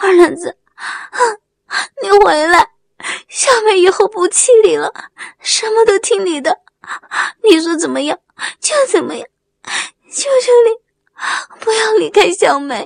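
Putting on a character voice, a woman speaks at an extremely high pitch with vocal fry, at a fairly slow pace with long, frequent pauses. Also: ordinary pitch variation, dry, close sound with no echo.

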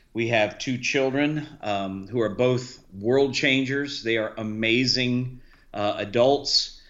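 A man with an American accent, medium pitch and fairly even intonation, speaking at a very slow pace amid audible room echo. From US South, Key West, Florida. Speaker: missionary and former pastor. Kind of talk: casual chat.

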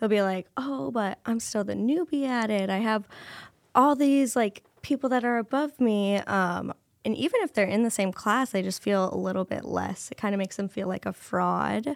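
A woman with a Midwestern American accent, medium pitch, ordinary pitch variation and a moderate pace. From Iowa, Cedar Rapids. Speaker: business development coordinator. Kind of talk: casual interview chat.

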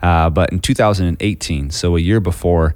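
Speaking fairly quickly with an American accent, a man uses a very deep, low voice. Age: 20s. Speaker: cardiac arrest survivor and churchgoer. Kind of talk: interview conversation.

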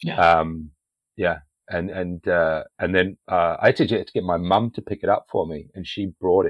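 The voice has a British accent and a monotone, flat intonation. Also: man. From UK. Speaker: podcast host. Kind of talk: casual interview.

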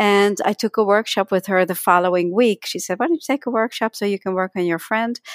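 Speaking at a fairly quick pace with hardly any pauses, a woman with a slight Dutch accent uses ordinary pitch variation on a very clean recording with a silent background. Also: medium pitch for a woman, dry, close sound with no echo. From Netherlands. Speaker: energy healing teacher and author. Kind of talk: podcast interview.

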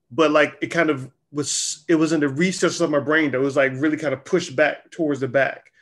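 Over a quiet background, a man in an unremarkable speaking voice talks at a fairly quick pace with hardly any pauses, fairly even intonation and a fairly high pitch. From US South, Charlotte, North Carolina. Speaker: publisher and creative director. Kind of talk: casual interview.

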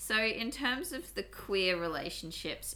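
Talking at a fairly slow pace in an Australian accent, a woman has a bright, sharp tone with vocal fry. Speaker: podcast host. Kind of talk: casual chat.

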